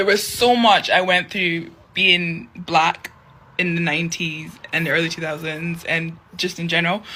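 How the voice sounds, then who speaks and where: Here a woman speaks in a Scottish accent with a fairly low pitch. Her tone is bright and sharp, and her intonation fairly even. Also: moderate pace. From Scotland, Edinburgh (arrived 1998). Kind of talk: casual testimony.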